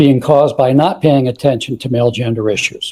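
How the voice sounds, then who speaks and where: At a fairly quick pace, a man talks in a dark, mellow tone with a medium pitch. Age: 70s. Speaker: radio host and social worker. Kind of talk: self-introduction in group discussion. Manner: rushed, breathless.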